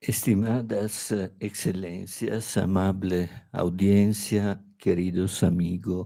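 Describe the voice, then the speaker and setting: In an Italian accent, a man talks at a very slow pace with a very deep, low pitch. His tone is dark and mellow, and his intonation is monotone and flat. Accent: non-native Spanish, Italian. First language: Italian (speaking Spanish). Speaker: law professor. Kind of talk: academic lecture. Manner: halting, with hesitations.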